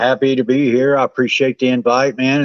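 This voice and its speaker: A man with a Southern accent, medium in pitch, at a moderate pace. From West Virginia mountains. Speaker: guest. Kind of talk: casual chat. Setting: live stream on phone.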